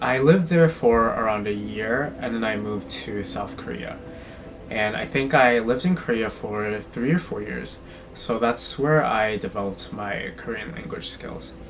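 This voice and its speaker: A man with an American accent speaks over noticeable background noise and audible room echo. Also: medium pitch for a man, lively intonation, moderate pace. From US Midwest, suburb of Chicago. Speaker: fashion and lifestyle vlogger. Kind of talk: casual personal storytime vlog.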